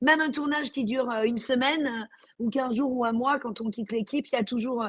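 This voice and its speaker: A woman with a high pitch talks at a very fast pace, her intonation fairly even. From Marseille, southern France. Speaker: actress. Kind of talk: interview. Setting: remote video call. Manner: hesitant, many fillers.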